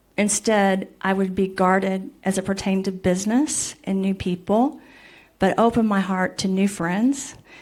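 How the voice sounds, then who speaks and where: In a very clean recording with a silent background, a woman speaks at a moderate pace and medium pitch in an ordinary speaking voice. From Missouri, US. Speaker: scientist, panelist. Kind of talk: panel discussion.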